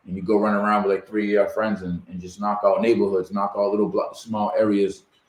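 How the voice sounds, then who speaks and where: A man with a Massachusetts accent speaks very fast at a fairly low pitch. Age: 40s. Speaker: podcast host. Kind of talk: interview.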